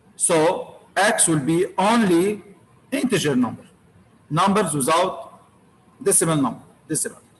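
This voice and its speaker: A man's high-pitched voice with lively intonation and very even loudness, long, frequent pauses, and audible room echo. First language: Arabic. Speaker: university lecturer. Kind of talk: lecture. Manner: repetitive.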